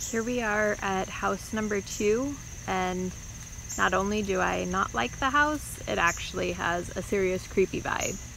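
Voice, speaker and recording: A woman speaks at a fairly slow pace, her voice dry with no echo over light background noise. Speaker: house hunter vlogger. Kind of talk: casual vlog chat. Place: open country. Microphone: phone near.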